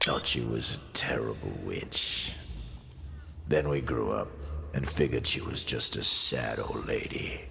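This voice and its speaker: A man does a put-on character voice at a fairly slow pace against loud background noise. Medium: game stream. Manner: drawling, streetwise.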